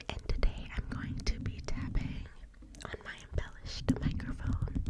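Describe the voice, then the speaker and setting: Whispering at a moderate pace, a woman swings widely in loudness over noticeable background noise. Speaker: ASMR artist. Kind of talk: ASMR rambling to camera. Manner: whispered, soft-spoken.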